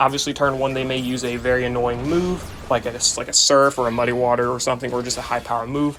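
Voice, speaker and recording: Over music in the background, a man at a medium pitch speaks very fast in a monotone, flat delivery. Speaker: gaming YouTuber. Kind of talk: gameplay commentary. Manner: casual.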